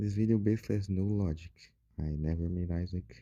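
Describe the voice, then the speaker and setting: A man with a Portuguese accent talks at a moderate pace in a very deep, low pitch. His tone is dark and mellow, with ordinary pitch variation. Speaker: gaming YouTuber. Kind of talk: casual gaming commentary. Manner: halting. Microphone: poor audio quality.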